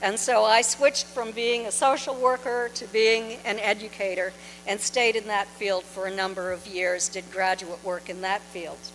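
Speaking at a moderate pace with hardly any pauses, a woman with an American accent has a normal speaking voice, medium in pitch, with fairly even intonation. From New Hampshire, US. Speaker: author and UFO researcher. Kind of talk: lecture. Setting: stage with audience.

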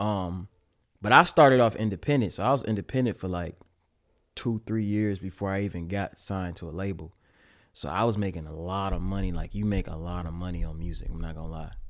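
A man with an American accent has a plain, everyday voice, a fairly low pitch with ordinary pitch variation, and talks at a fairly quick pace. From Pontiac, Michigan, US. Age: 20s. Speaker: YouTuber and rapper. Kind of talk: casual chat.

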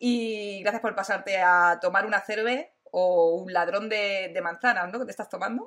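In a very clean recording with a silent background, a woman of medium pitch talks at a moderate pace with hardly any pauses. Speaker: tech youtuber and streamer. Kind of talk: casual live-stream interview. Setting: live stream. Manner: animated, loud at times.

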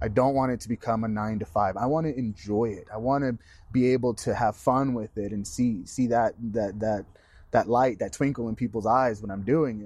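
A man speaks at a medium pitch and moderate pace with ordinary pitch variation, in an ordinary speaking voice. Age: 30s. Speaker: magician. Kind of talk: casual chat.

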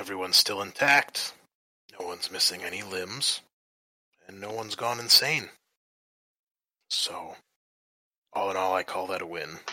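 A raspy, put-on character voice from a man, fairly low in pitch, at a moderate pace with long, frequent pauses. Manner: measured, authoritative, commanding.

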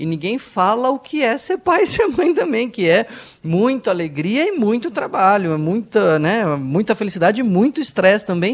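This man's voice sits high and swings very widely in pitch. His pace is moderate. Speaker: psychiatrist co-host. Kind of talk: radio talk show.

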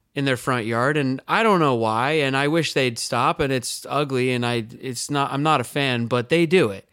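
With an American accent, a man speaks in a plain, everyday voice at a fairly high pitch. His pace is moderate, and the recording is very clean with a silent background. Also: hardly any pauses. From California. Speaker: podcast co-host. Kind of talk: casual banter between co-hosts. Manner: jokey, rambling, laughs often.

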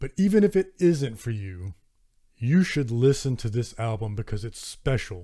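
A man with a Southern US accent speaks at a moderate pace, his medium-pitched voice dark, mellow and somewhat breathy, with very wide pitch swings. The recording is very clean, with a silent background. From US South. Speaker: metal podcast host and reviewer. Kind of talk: solo podcast monologue, album review.

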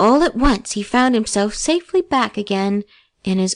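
The intonation is lively in an unforced reading voice. Behind it, the background stays quiet.

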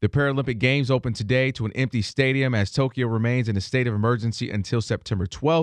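Talking at a very fast pace, a man uses a medium pitch and ordinary pitch variation against a quiet background. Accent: American. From Michigan, Ann Arbor. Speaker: radio host. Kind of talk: morning radio talk show.

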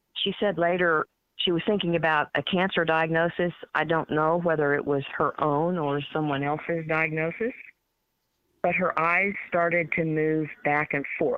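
With a normal speaking voice, a woman talks at a moderate pace and a fairly low pitch, her intonation fairly even. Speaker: licensed counselor and play therapist. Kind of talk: radio interview.

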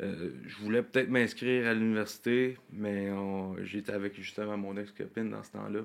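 A man with an unremarkable speaking voice and a fairly low pitch talks at a moderate pace with hardly any pauses. His intonation stays fairly even while his loudness swings widely. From Quebec, South Shore of Montreal. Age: 20s. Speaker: country singer. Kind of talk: casual interview.

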